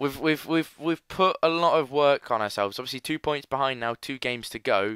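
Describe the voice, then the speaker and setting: On a very clean recording with a silent background and a dry, close sound without echo, a man with an English accent speaks in a fairly high pitch and a bright, sharp tone, with ordinary pitch variation and hardly any pauses. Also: fairly quick pace. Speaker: gaming youtuber. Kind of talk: gameplay commentary. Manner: animated.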